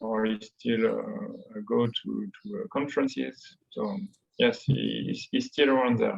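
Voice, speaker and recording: A man with a French accent at a fairly slow pace. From France. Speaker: economics professor. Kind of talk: academic interview. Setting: video call. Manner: halting, many hesitations.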